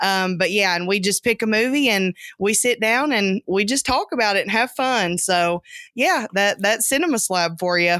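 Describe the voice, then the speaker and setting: A woman's bright, sharp tone with ordinary pitch variation and very even loudness, dry and close with no echo, on a very clean recording with a silent background. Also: medium pitch for a woman, moderate pace. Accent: Southern US. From US South. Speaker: podcast co-host, guest. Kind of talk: casual chat.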